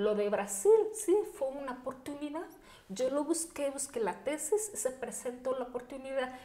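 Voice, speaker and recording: Her voice is high and her intonation lively, though she speaks fairly slowly. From Mexico, Chihuahua (Bachíniva, Cuauhtémoc). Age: 40s. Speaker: deaf athlete and entrepreneur. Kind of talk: interview. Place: home room. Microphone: studio mic.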